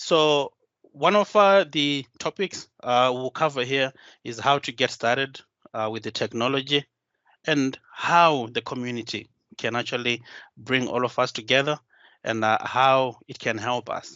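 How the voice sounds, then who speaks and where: In a Zimbabwean accent, a man speaks at a fairly slow pace and medium pitch, with ordinary pitch variation. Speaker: solution designer and tech community speaker. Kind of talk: conference talk. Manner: hesitant, many filler sounds.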